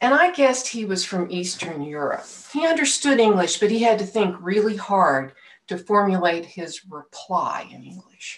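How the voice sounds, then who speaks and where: A woman's voice moves through very wide pitch swings and big swings in loudness. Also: moderate pace. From Oklahoma (Tulsa); Oklahoma. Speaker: lay minister. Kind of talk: sermon. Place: home room. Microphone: webcam.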